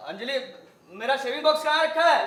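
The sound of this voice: A man uses a put-on character voice at an extremely high pitch, with lively intonation and a bright, sharp tone. Strong room echo surrounds it. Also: fairly quick pace.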